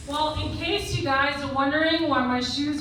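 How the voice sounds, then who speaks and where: At a fairly slow pace, a woman with a high pitch and ordinary pitch variation speaks over noticeable background noise. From Puerto Rican, New York. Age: 50s. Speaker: stand-up comedian. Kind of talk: stand-up comedy set. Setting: comedy club stage.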